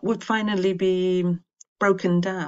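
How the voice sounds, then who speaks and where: This woman talks at a fairly slow pace with a fairly low pitch. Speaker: teacher and textbook author. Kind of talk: lecture with poetry reading; poetry reading. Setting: video lesson. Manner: measured, expressive, dramatic reading; clear, formal, didactic.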